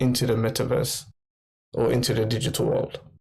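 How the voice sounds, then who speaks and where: A man talks with a London accent. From London, England. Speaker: NFT merchandise creator. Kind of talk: casual interview. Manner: halting.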